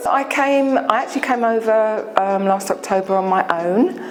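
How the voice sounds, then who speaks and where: Through noticeable background noise, a woman with a London accent speaks at a fairly slow pace. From England, London. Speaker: dental patient. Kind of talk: testimonial interview. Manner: hesitant, many fillers.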